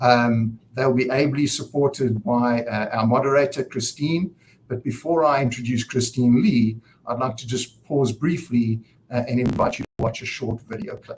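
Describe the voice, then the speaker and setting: A man with a South African accent talks at a moderate pace in a medium pitch, somewhat breathy, with ordinary pitch variation. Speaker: nonprofit director and event host. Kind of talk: conference opening speech. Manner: hesitant, many fillers.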